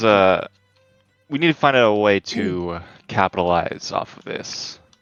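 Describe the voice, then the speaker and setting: A strained, put-on character voice moves at a moderate pace. Faint music plays in the background. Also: man, fairly low pitch for a man. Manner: speaking through gritted teeth, strained.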